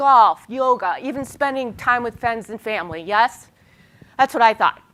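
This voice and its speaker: A woman's high-pitched, animated voice with a bright, sharp tone at a fairly quick pace. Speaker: public relations consultant and conference speaker. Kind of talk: conference presentation. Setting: stage with audience. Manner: fast.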